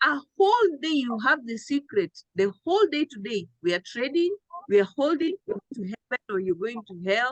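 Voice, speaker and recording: A woman speaks loud at a moderate pace with very wide pitch swings, the sound dry and close with no echo. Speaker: trading coach. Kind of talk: live trading town hall. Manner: animated.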